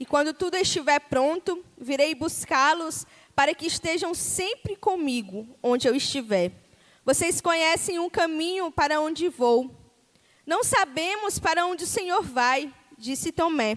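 A woman with an extremely high pitch talks at a fairly slow pace. Her tone is animated and her intonation lively. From Brazil, Tocantins. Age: 20s. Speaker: missionary. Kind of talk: sermon. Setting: church.

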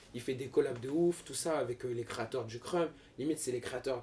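A man talks at a very fast pace in a medium pitch with fairly even intonation. Noticeable background noise runs behind him. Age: 20s. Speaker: professional dancer and model. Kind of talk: casual chat.

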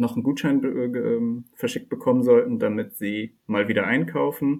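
Intonation remains fairly even. Delivery proceeds at a moderate pace. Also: man. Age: 30s. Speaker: data scientist. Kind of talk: interview. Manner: hesitant, many filler sounds.

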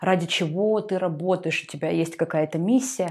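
A woman's unremarkable speaking voice at medium pitch, with lively intonation. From Russian Far East, Artyom (Primorsky Krai). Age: 20s. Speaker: media expert and magazine editor. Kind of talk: podcast interview.

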